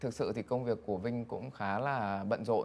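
A man speaks at a medium pitch and a moderate pace, his pitch varying in an ordinary way. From Vietnam. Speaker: banker, business executive; interview guest. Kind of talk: interview. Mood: calm, reflective. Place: studio. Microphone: lapel.

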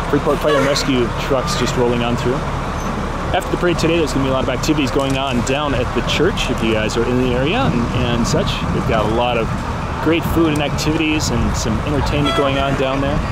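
Amid loud background noise, a man talks at a very fast pace in a dry sound with no echo. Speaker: live stream parade commentator. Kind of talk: commentary. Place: street.

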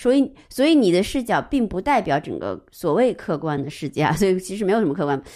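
With a dark, mellow tone and very wide pitch swings, a woman talks at a fairly quick pace in a very clean recording with a silent background. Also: medium pitch for a woman. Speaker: art historian. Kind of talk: casual discussion of a book.

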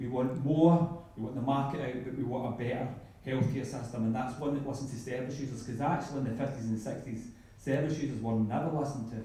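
A man talks at a very fast pace with fairly even intonation. Strong room echo surrounds his voice. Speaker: guest lecturer. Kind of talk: audience question. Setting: lecture hall with audience. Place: hall. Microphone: camera far.

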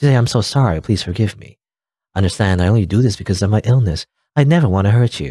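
Quiet background behind an unforced reading voice

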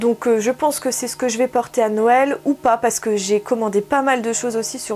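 Faint music plays in the background as a woman with fairly high pitch speaks at a moderate pace. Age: 40s. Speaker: beauty YouTuber; beauty vlogger. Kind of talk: product haul review. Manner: casual, hesitant with frequent 'euh'. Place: home room. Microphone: camera far.

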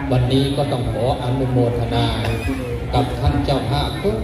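Loud background noise and audible room echo accompany a man's voice. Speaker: monk preacher. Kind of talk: sermon.

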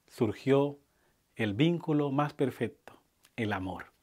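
Over a silent background on a very clean recording, a man talks at a very slow pace with ordinary pitch variation. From Colombia, Buenaventura (Pacific coast). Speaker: groom. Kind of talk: wedding speech. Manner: formal.

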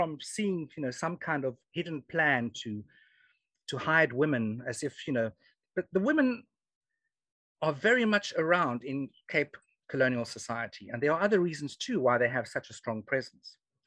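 In a South African accent, a man talks at a moderate pace with a fairly high pitch and very wide pitch swings, the sound dry with no echo. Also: quiet background. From South Africa (Free State). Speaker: historian and genealogy speaker. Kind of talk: lecture. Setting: video call. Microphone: video call.

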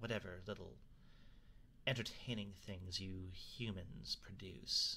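Over clear background noise, a man uses a put-on character voice at a fairly low pitch and a fairly slow pace. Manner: sardonic, defiant.

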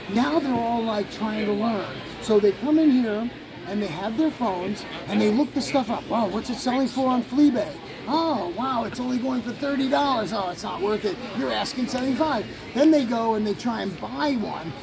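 Extremely high-pitched, a man talks at a moderate pace with ordinary pitch variation. Crowd noise carries in the background. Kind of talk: interview answer. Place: hall. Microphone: phone near.

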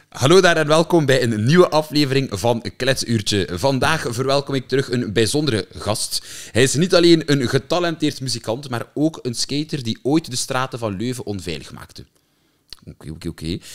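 Against a quiet background, a man talks at a fairly quick pace with lively intonation, vocal fry and big swings in loudness. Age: 20s. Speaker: podcast host. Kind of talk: casual chat; podcast intro and interview questions. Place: studio. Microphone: studio mic.

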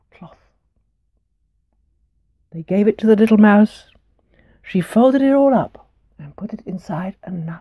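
A woman's voice is somewhat breathy, with a dark, mellow tone and ordinary pitch variation. The background is quiet. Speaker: storyteller. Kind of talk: storytelling to children. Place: home room.

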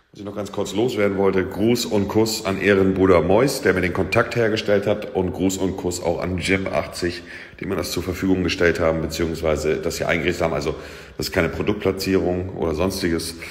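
The pace is fairly quick. The background is quiet. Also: man, fairly even intonation. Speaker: streamer showing his home gym. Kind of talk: casual vlog chat. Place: gym. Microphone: phone near.

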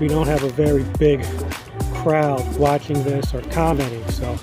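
A man at a fairly slow pace, dry sound with no echo, clear music in the background. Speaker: fitness vlogger. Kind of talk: casual vlog chat. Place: street. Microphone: phone near.

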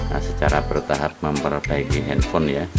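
Male voice at a moderate pace, loud music in the background. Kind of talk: tutorial. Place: workshop. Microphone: phone near.

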